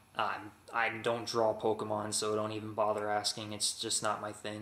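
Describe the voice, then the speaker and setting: With an American accent, a man talks at a fairly quick pace in a fairly low pitch amid noticeable background noise. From Texas. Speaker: vlogger. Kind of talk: casual vlog. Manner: halting, many fillers.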